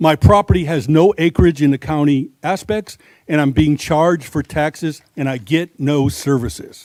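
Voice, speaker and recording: A man talks at a moderate pace in a fairly high pitch. The sound is dry and close, with no echo. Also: ordinary pitch variation. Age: 60s. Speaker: public commenter at county meeting. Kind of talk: public comment at government hearing.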